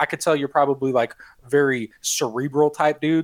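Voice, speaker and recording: Recorded with a dry, close sound and no echo, a man with an American accent has an ordinary speaking voice, fairly high in pitch and fairly quick in pace. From Chicago. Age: 30s. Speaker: podcast host. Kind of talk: casual chat.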